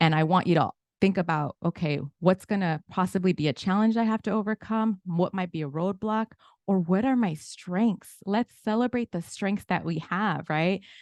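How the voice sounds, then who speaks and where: A woman with a Spanish accent talks at a moderate pace with ordinary pitch variation, the sound dry and close with no echo against a quiet background. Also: medium pitch for a woman. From Inglewood, California. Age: 40s. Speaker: financial literacy educator. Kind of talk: webinar presentation.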